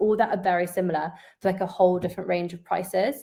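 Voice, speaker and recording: At a fairly quick pace, the voice carries a dark, mellow tone. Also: woman. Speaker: interior designer. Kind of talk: webinar presentation. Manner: fast.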